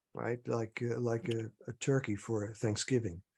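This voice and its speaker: A man's somewhat breathy voice at a medium pitch with a dark, mellow tone, fairly even intonation and a moderate pace. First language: Dutch or other non-English. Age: 70s. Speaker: dreamwork teacher and author. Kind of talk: guided dreamwork demonstration. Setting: video call. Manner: hesitant, many fillers.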